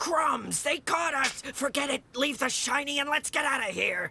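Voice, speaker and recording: At a moderate pace, a raspy, high-pitched put-on character voice comes through. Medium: video game. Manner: lively, giggly.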